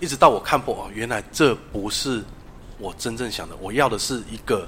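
In a Taiwanese accent, a man talks at a fairly quick pace and medium pitch. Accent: Taiwanese Mandarin. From Taiwan, Taichung. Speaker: tarot reader. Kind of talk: interview.

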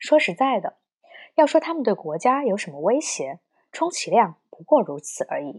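A woman at a moderate pace and high pitch, with very wide pitch swings and big swings in loudness. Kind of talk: history documentary narration. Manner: formal, measured and solemn, like a documentary narrator.

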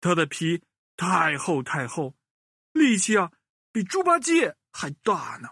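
Slow and lively in intonation, a man speaks with a fairly bright tone and a slightly husky edge. The sound is dry and close, with no echo.

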